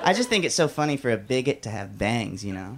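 With an American accent, a man talks at a very fast pace. His voice has vocal fry and very wide pitch swings. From Alabama. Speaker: stand-up comedian. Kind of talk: stand-up. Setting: stage with audience.

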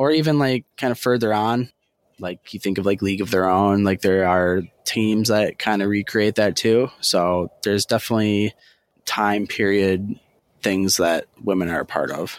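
A plain, everyday voice moves at a moderate pace with ordinary pitch variation, in a very clean recording with a silent background and a dry, close sound with no echo. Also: man, fairly low pitch for a man. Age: 20s. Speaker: sports event worker. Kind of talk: casual chat.

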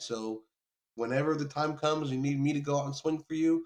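With an American accent, a man talks at a fairly quick pace in a fairly high pitch, a plain, everyday voice. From New York, later US South. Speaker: photographer and author. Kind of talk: casual chat.

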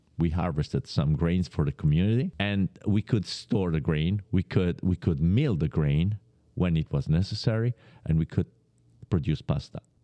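A man with an Italian accent and a very deep, low pitch talks at a moderate pace in a dark, mellow tone, with ordinary pitch variation, very even loudness and a dry, close sound with no echo against a quiet background. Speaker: pasta producer. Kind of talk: interview.

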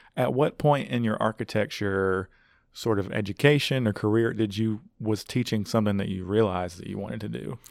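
Over a very clean recording with a silent background, a man speaks in a normal speaking voice. His pitch is fairly low, his pace fairly quick, with ordinary pitch variation. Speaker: podcast host. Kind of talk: casual interview.

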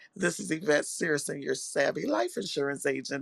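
Putting on a character voice, a man speaks at a fairly high pitch. His voice is raspy and his pace is moderate.

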